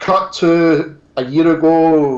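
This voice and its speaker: A man with a strong Scottish accent. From Scotland. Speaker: toy reviewer and YouTuber. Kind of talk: casual interview chat.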